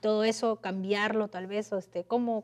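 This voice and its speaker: Flat, monotone intonation from a woman speaking at a medium pitch. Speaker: interviewer, radio/TV host. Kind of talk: interview. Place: studio. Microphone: lapel.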